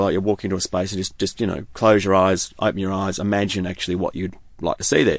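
A man with an Australian accent, his pitch very deep and low, at a fairly quick pace with fairly even intonation, over a quiet background. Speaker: glass artist. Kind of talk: interview.

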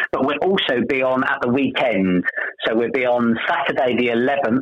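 Noticeable background noise surrounds a man's medium-pitched voice. He keeps a very even loudness at a moderate pace. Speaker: amateur pantomime cast member. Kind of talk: friendly radio interview, chatty and promotional. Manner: warm, upbeat and conversational, with frequent 'um' fillers.

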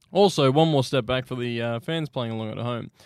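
Putting on a character voice, a man mumbles at a fairly quick pace and a medium pitch. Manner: mumbling.

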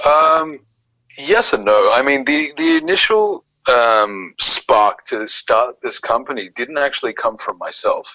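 He speaks with an Australian accent. His pace is fairly slow. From Australia, Sydney (Bondi Beach). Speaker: small business founder. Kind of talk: casual interview.

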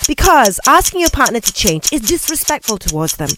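A woman's high-pitched voice with noticeable background noise. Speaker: radio co-host. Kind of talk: casual radio debate banter. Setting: radio studio. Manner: animated, playful.

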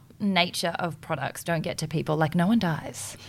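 In an Australian accent, a woman talks at a fairly quick pace. Her pitch is fairly low, and the recording is very clean with a silent background. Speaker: podcast host. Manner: fast talker.

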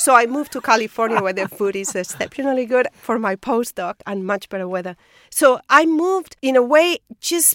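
Speaking with a Spanish accent at a fairly quick pace, a woman uses a high pitch and lively intonation, with a dry, close sound and no echo. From Spain. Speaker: biophysicist, professor. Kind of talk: interview. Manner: halting, repeats words.

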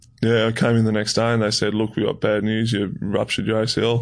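A man with an Australian accent at a fairly quick pace, with monotone, flat intonation. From Tasmania, Australia. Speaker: professional footballer. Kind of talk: interview.

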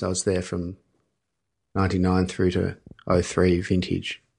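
A man's very deep, low voice in an Australian accent, monotone and flat, over a quiet background. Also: long, frequent pauses. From Melbourne, Australia. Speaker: winemaker. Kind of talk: casual chat. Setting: studio.

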